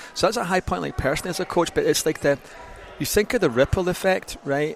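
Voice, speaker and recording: Over noticeable background noise, a man with a Scottish accent talks at a fairly quick pace with ordinary pitch variation. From Scotland. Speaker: gym owner and fitness consultant. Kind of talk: podcast interview.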